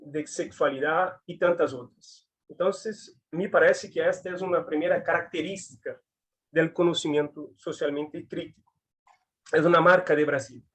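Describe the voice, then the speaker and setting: A man with a Brazilian accent at a high pitch, fairly slow in pace, with big swings in loudness. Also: fairly even intonation. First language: Portuguese (speaking Spanish). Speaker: physical education academic. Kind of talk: academic talk. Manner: halting.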